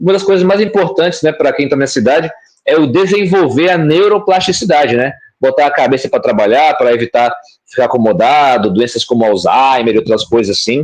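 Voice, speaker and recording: At a fairly quick pace, a man speaks in a fairly high pitch with very wide pitch swings and very even loudness. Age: young. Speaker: bitcoin educator. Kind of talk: explanatory answer in live stream Q&A.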